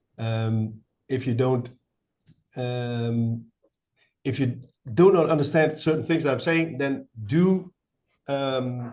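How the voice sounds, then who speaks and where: A man at a medium pitch talks very slowly, with ordinary pitch variation and long, frequent pauses. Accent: Dutch. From Netherlands. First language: Dutch. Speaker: battery company representative. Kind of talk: webinar presentation. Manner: hesitant, many fillers.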